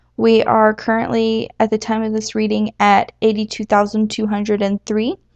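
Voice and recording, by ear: The speaker is reading aloud. It is in a natural voice.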